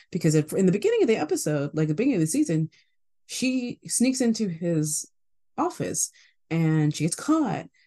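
Her voice is somewhat breathy, and her pitch swings very widely. The woman's loudness holds very even. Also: medium pitch for a woman, moderate pace. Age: 20s. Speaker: podcast co-host. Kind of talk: casual chat.

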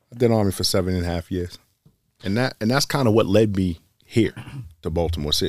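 Talking very fast with long, frequent pauses, a man speaks with an American accent. His pitch is fairly low, with ordinary variation. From Boston. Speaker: police lieutenant and army veteran. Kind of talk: casual interview chat.

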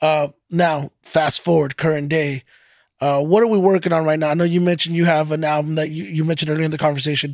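Talking at a very fast pace, a man with an American accent keeps a fairly high pitch and fairly even intonation. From Fort Worth, Texas. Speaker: podcast host. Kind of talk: casual interview. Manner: conversational, slightly stumbling.

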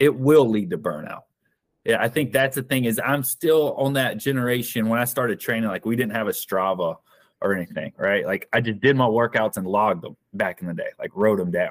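A man with a Southern US accent, medium pitch and lively intonation, in a dry, close sound with no echo. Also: very clean recording, silent background. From US South, South Carolina. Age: 30s. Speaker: endurance athlete and business owner. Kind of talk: interview.

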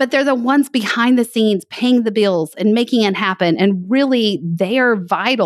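In a Texan accent, a woman talks at a fairly high pitch with ordinary pitch variation. The recording is very clean with a silent background and a dry, close sound with no echo. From West Texas. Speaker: financial planning educator. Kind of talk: casual interview chat.

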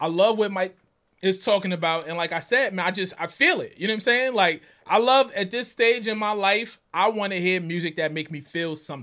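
A man's high, bright, sharp voice, raised and projected, with ordinary pitch variation and a fairly quick pace, on a very clean recording with a silent background. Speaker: podcast host. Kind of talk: casual chat.

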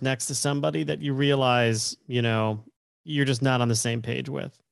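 Here a man talks at a moderate pace with ordinary pitch variation. He has a normal speaking voice. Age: 40s. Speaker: podcast host. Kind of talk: interview conversation.

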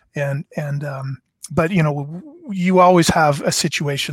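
A man with a Canadian accent speaks in a somewhat breathy voice at a fairly high pitch. The sound is dry and close with no echo, and the recording is very clean with a silent background. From Canada, eastern Ontario. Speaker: former card company executive. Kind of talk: interview, storytelling.

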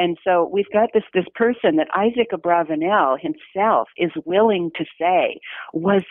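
Lively intonation runs through this woman's medium-pitched voice. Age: 60s. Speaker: novelist and retired humanities professor. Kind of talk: interview. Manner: halting.

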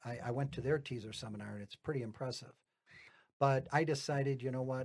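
Somewhat breathy, a man talks at a very fast pace with big swings in loudness. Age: 60s. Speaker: retired auto worker turned real estate investor. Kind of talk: casual podcast interview. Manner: rambling, self-correcting.

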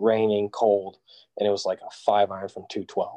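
A man with an American accent speaks at a moderate pace, with a dry, close sound, no echo, and a quiet background. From California, Central Valley. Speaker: college golfer. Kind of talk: casual interview.

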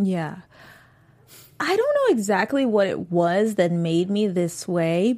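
In a very clean recording with a silent background, a woman's pitch swings very widely. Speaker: after-show host. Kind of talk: casual chat discussing a TV episode.

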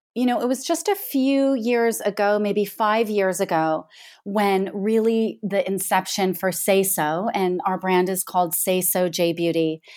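A woman with a plain, everyday voice speaks at a fairly slow pace at a medium pitch, with ordinary pitch variation. The recording is very clean, with a silent background. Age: 40s. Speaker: skincare brand founder. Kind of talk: interview.

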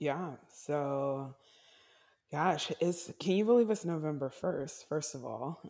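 Very slowly and with lively intonation, a woman with an American accent speaks at a very deep, low pitch with a dark, mellow tone, in a very clean recording with a silent background. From North Carolina, US South. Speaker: actress and producer. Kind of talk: interview.

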